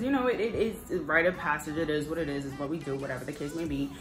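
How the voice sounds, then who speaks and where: Over music in the background and with audible room echo, a woman speaks at a fairly quick pace with very wide pitch swings. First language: not English. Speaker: lifestyle vlogger. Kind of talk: product review. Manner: animated; fast.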